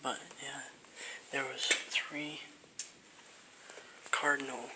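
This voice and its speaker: Whispering at a fairly slow pace against noticeable background noise. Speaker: nature vlogger. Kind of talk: casual vlog. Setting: outdoors at nature center. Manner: quiet.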